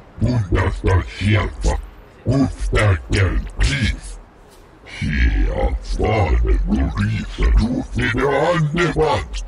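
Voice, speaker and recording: This man puts on a character voice, very deep and low. He talks at a very slow pace. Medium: machinima.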